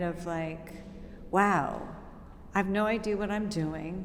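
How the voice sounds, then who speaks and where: A woman at a medium pitch and a very slow pace, with audible room echo. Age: 60s. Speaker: dance company founder and choreographer. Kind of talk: interview.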